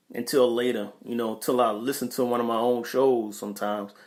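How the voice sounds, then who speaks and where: Speaking at a fairly quick pace, a man with a New York accent keeps a flat, monotone intonation. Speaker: podcast host reading live chat. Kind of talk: casual livestream talk. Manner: hesitant, many fillers and repeats.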